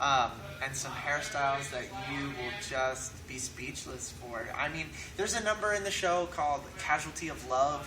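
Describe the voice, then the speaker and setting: A man with an American accent, a fairly high pitch and lively intonation at a moderate pace, with audible room echo and music in the background. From California. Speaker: musical theatre actor. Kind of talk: interview.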